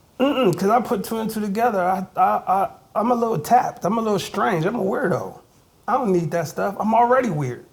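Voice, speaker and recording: Loud and animated, a man with an American accent talks at a fairly quick pace. His high voice has lively intonation. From Ohio, Youngstown Southside. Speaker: hip hop artist. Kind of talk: interview. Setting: recording studio.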